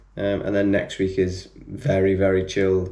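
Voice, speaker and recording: Quiet and fairly low-pitched, a man with a British accent speaks in a monotone, flat intonation amid audible room echo. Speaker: running vlogger, amateur marathon runner. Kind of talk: casual vlog talk to camera. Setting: home, others asleep. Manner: quiet, keeping voice down; hesitant, many fillers.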